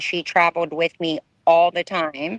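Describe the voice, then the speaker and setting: A woman talks with an American accent. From Texas, US. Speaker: ex-model. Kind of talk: interview testimony.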